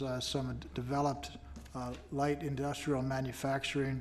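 Against light background noise, a man speaks at a moderate pace with a fairly high pitch. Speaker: commission executive officer. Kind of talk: public meeting staff report. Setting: government meeting room, broadcast. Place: hall. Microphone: podium.

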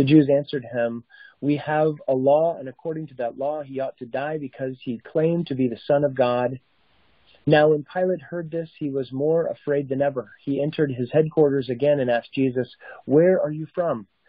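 A man talks at a moderate pace with fairly even intonation. The sound is dry with no echo, and the background is quiet. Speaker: senior minister giving devotion. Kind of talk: scripture reading. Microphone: phone line.

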